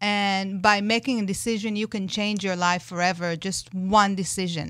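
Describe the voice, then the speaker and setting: Fairly even intonation from a woman at a medium pitch, moving at a moderate pace. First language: not English. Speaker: life coach, neurolinguistic expert. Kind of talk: radio interview. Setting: radio studio. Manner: hesitant, with fillers.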